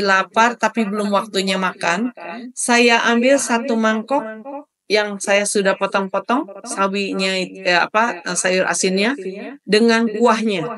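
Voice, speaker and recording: Very slow speech comes with pitch that varies in an ordinary way. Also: woman. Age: 60s. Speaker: webinar moderator and cooking instructor. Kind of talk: webinar Q&A.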